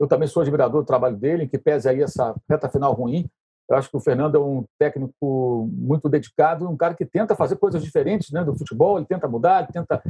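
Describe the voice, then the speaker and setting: A man speaks fairly quickly in a somewhat breathy, fairly high voice whose pitch varies in an ordinary way. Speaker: sports journalist, interviewer. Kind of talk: interview.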